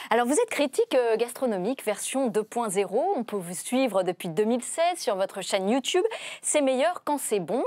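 A woman talks with very wide pitch swings. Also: quiet background, dry sound with no echo. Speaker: TV host. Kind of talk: interview presenting. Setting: studio. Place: studio. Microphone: lapel.

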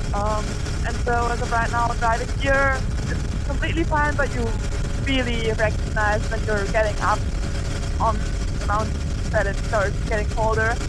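Over loud background noise, the voice sounds dry with no echo and moves at a moderate pace broken by long, frequent pauses. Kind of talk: casual vlog chat. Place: motorbike. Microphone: helmet.

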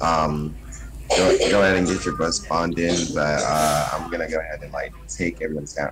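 Moderate pace and ordinary pitch variation over loud background noise. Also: man.

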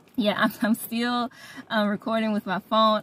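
A woman speaks in a somewhat breathy voice. The sound is dry with no echo, over light background noise. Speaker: faith vlogger. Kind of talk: casual religious vlog chat. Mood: warm, joyful. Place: car. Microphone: phone near.

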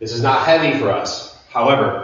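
Fairly slow speech from a man, with strong room echo. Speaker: fitness instructor. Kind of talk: workout instruction. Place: gym. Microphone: camera far.

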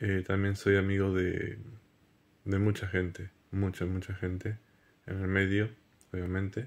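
A man's fairly low voice at a fairly slow pace, monotone and flat, with long, frequent pauses. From Argentina, Buenos Aires province. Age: 30s. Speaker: radio announcer. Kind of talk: casting audition video. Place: home room. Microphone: phone near.

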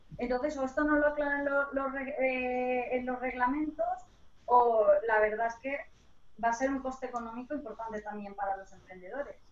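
The woman's voice is high in pitch with ordinary variation. She talks at a moderate pace. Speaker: lawyer. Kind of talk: panel discussion. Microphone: too quiet, sounds far away.

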